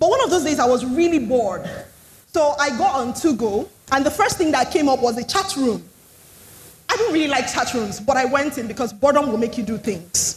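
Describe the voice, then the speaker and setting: With a Nigerian accent and lively intonation, the speaker moves at a fairly quick pace over noticeable background noise. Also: woman, high pitch for a woman. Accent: Nigerian accent, others find it funny. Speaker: storyteller and writing coach. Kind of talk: TEDx talk. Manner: switches to a different tune for clarity.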